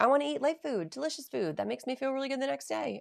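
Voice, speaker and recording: A woman's animated voice, marked by vocal fry and very wide pitch swings, comes across dry and close with no echo. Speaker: nutrition program co-founder hosting live Q&A. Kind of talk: livestream Q&A. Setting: live video stream. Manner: fast.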